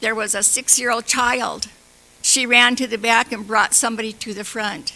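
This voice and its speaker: The speech moves at a moderate pace amid noticeable background noise. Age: 70s. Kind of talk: public comment at council meeting. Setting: council meeting room. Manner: halting.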